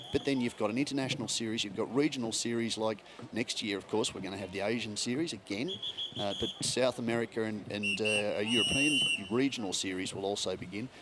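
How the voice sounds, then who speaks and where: Over noticeable background noise, a man with an Australian accent talks at a very fast pace, medium pitch and ordinary pitch variation. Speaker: motorsport commentator. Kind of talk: casual chat.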